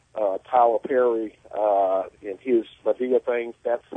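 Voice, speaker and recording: A man speaks with a Southern US accent. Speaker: caller. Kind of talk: radio call-in. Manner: halting.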